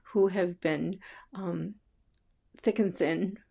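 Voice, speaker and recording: A woman speaks at medium pitch with an American accent and vocal fry. The recording is very clean, with a silent background. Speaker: vlogger. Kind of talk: casual chat. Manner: halting.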